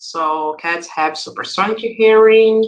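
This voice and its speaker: This woman speaks at a very slow pace. Her pitch varies in an ordinary way. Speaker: software developer advocate. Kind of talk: coding tutorial workshop. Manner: hesitant, many fillers.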